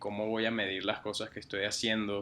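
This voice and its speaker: With a slight Mexican accent, a man talks at a fairly low pitch in a bright, sharp tone. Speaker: digital strategist. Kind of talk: interview. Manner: hesitant, many fillers.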